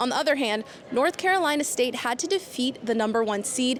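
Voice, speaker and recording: Over noticeable background noise, a woman talks at a fairly quick pace in a high voice. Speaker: sports reporter. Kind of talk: TV sports broadcast report.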